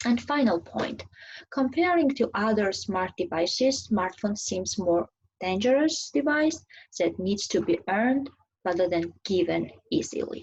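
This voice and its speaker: Somewhat breathy, a woman speaks at medium pitch and a fairly slow pace, her voice making very wide pitch swings. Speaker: graduate student presenter. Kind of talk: academic presentation. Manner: halting.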